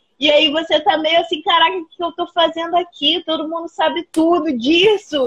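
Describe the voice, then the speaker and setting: A woman speaks at a moderate pace, captured with a dry, close sound and no echo. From Rio de Janeiro state, Brazil (Paracambi). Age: 30s. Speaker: biologist and schoolteacher. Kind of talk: casual interview.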